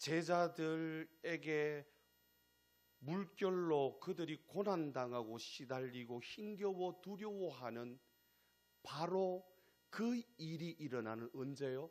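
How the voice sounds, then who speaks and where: A man with a Gyeongsang accent, very slow in pace and lively in intonation. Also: fairly high pitch for a man. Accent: Gyeongsang dialect pronunciation. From Gyeongsang region, South Korea. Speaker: pastor. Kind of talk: sermon. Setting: church. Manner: emphatic, repetitive rhetorical cadence.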